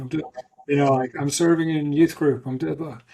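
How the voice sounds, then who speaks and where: A man speaks in a somewhat breathy voice. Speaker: ultramarathon swimmer and motivational speaker. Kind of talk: podcast interview testimony.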